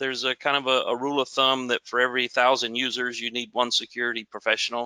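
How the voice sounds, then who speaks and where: This man has a Southern US accent and a medium pitch. His tone is bright and sharp, and the sound is dry and close with no echo. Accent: southern drawl. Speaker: security manager presenting a webinar. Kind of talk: webinar presentation.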